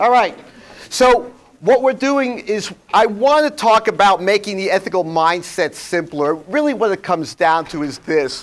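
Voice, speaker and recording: Speaking in a New York accent, a man has a high pitch. His intonation is lively and his pace moderate. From New York, Flushing (Queens). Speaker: workshop presenter on ethics. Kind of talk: seminar talk to audience. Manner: blunt, conversational.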